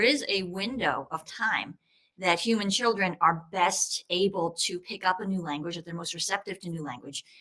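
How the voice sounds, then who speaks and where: Talking at a moderate pace with a normal speaking voice, a woman with an American accent keeps a medium pitch and ordinary pitch variation. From US, New York. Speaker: state senator. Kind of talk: panel discussion.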